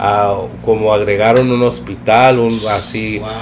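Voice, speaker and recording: A man speaks at a very slow pace against noticeable background noise. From East Los Angeles, US. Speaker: podcast guest, nonprofit volunteer. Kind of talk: casual chat.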